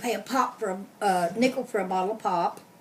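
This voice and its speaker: A woman with an American accent at a moderate pace, with ordinary pitch variation. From Kentucky, Louisville. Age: 60s. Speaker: interviewee, relative of interviewer. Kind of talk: oral history interview. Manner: casual, hesitant with fillers.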